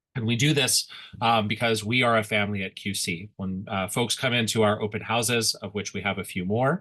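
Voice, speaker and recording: Fairly quick, fairly low-pitched speech from a man, bright, sharp tone, fairly even intonation, quiet background. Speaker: school principal. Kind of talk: presentation. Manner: fast.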